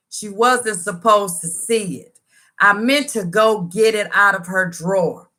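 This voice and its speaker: Speaking fairly slowly, a woman uses a medium pitch with ordinary pitch variation. Her tone is animated, and her loudness swings widely. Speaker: YouTuber sharing personal story. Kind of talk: storytime livestream.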